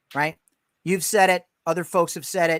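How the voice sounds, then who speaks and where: A high-pitched man with a New York accent speaks at a moderate pace, and the sound is dry and close with no echo. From New York, Westchester. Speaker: podcast host, real estate agent. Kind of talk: casual interview chat.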